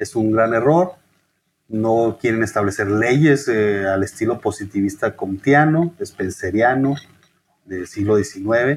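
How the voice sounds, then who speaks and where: The man's pitch is medium, with ordinary variation. He talks at a very slow pace. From Chihuahua, northern Mexico. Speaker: historian and author. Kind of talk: interview.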